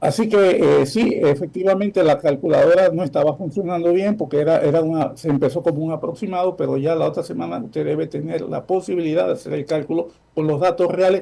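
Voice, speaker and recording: A man speaks very fast with a high pitch, a dark, mellow tone and ordinary pitch variation. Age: 70s. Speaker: former social security official. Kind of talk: interview.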